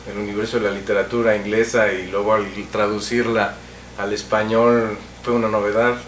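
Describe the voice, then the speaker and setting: A man talks at a moderate pace with audible room echo and noticeable background noise. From Mexico. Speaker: TV cultural show host. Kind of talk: interview.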